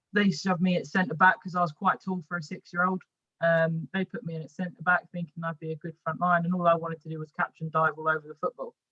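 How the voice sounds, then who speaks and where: A woman talks at a very fast pace with a London accent and fairly low pitch. Her intonation is fairly even, and the sound is dry and close with no echo. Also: big swings in loudness. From West London. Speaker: women's football goalkeeper and coach. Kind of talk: podcast interview. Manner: halting, repeats words.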